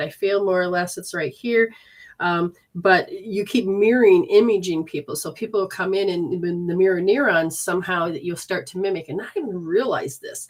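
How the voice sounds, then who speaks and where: Hers is an ordinary speaking voice: a woman at a medium pitch with ordinary pitch variation. She talks at a fairly quick pace on a very clean recording with a silent background. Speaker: energy healer and intuitive reader. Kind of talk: live-streamed healing session and readings. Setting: live stream.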